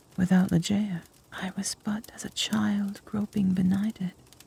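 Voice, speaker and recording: At a rather slow pace, a soft-spoken voice whispers. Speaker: ASMR narrator, reader of gothic literature. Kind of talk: whispered ASMR story reading. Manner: soft-spoken, whispered.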